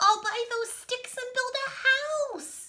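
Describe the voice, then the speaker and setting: Putting on a squeaky character voice, a woman speaks at an extremely high pitch and very slow pace. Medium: read story.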